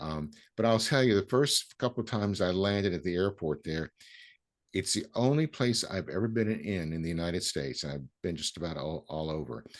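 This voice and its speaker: A man with an American accent, very deep and low in pitch, lively in intonation, at a fairly quick pace against a quiet background. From US South. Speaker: podcast host. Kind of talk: casual chat. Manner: halting.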